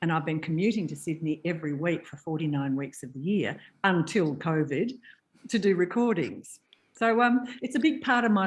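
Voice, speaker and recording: A woman's fairly low voice in an Australian accent, lively in intonation, over a quiet background. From Tasmania and north Queensland, Australia. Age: 70s. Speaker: voiceover artist. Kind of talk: interview.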